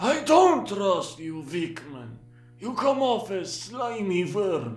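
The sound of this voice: Putting on a character voice, a man speaks at a high pitch and a very slow pace with very wide pitch swings.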